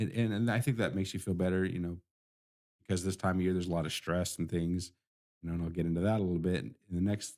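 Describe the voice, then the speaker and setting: Soft-spoken and very deep in pitch, a man talks very fast with a dark, mellow tone and fairly even intonation. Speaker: IT support business owner and live stream host. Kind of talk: casual solo live stream talk. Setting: live stream in office studio. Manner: soft-spoken, talking too low.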